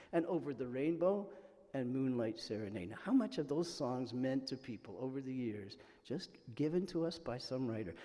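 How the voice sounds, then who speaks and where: A man's fairly high-pitched, dark, mellow voice with lively intonation, at a moderate pace and with audible room echo. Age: 60s. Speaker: minister. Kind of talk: sermon.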